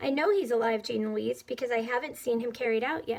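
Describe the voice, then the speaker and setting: A woman's raspy, high put-on character voice at a fairly quick pace with ordinary pitch variation. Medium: read story. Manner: crisp, dry-witted.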